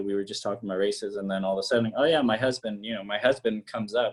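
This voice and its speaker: A man talks with an American accent. His pitch variation is ordinary. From Peru, emigrated to US at age four. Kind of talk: casual interview chat. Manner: hesitant, many fillers.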